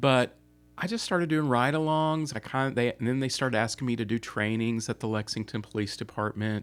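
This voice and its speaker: In a very clean recording with a silent background, a man talks fairly quickly at medium pitch with ordinary pitch variation. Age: 50s. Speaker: therapist. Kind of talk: interview. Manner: hesitant, many fillers.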